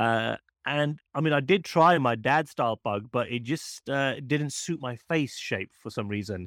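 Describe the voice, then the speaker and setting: On a very clean recording with a silent background and a dry, close sound with no echo, a man speaks at a fairly slow pace. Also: medium pitch for a man, ordinary pitch variation. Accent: British. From UK. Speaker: magician and mentalist. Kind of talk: casual interview chat.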